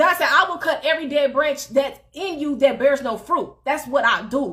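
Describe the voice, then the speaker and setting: Loud and animated, the bright, sharp voice moves at a moderate pace with ordinary pitch variation on a very clean recording with a silent background. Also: woman. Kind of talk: motivational faith talk. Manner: animated, loud.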